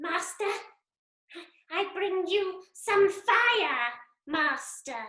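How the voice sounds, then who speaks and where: In a put-on character voice, squeaky and extremely high, someone speaks at a very slow pace with a slight echo. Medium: stage play. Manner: servile, excitable.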